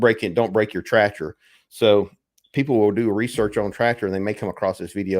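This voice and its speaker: A man with a Southern US accent speaks fairly quickly in a fairly low voice with fairly even intonation. The recording is very clean, with a silent background. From US South. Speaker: farmer and tractor channel host. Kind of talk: casual live chat.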